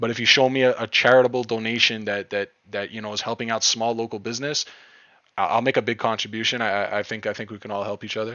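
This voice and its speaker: A man speaks at a very fast pace in a Quebec accent, his medium-pitched voice keeping fairly even intonation. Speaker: crypto trading streamer. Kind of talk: live stream chat. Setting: live stream. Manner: casual, repetitive with frequent restarts.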